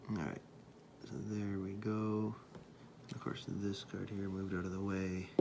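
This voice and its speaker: Soft-spoken and fairly low-pitched, a man talks at a fairly slow pace in a monotone, flat intonation with very even loudness, long, frequent pauses and audible room echo. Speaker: pastor making a how-to video. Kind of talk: tutorial. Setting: at home at night. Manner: casual.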